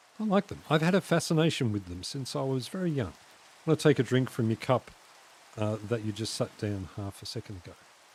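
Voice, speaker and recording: Somewhat breathy and very fast, the voice makes very wide pitch swings and big swings in loudness in a dry, close sound with no echo. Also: man, medium pitch for a man. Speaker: streamer. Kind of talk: casual live stream chat. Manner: animated.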